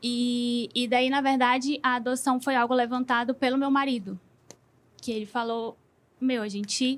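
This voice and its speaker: A woman speaks at a moderate pace in a high pitch with flat, monotone intonation. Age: 30s. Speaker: audience member trying to conceive. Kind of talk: casual chat. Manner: halting, many fillers.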